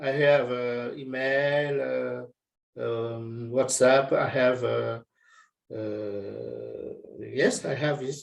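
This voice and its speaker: Audible room echo surrounds a man who talks at a very slow pace with a French accent. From France. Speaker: workshop participant. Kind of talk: video call chat. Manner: halting.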